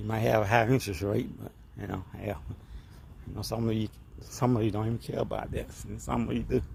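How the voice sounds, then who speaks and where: Talking at a very fast pace, a man breaks it up with long, frequent pauses. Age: 60s. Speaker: car vlogger. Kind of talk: casual vlog monologue. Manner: hesitant, many fillers and repetitions.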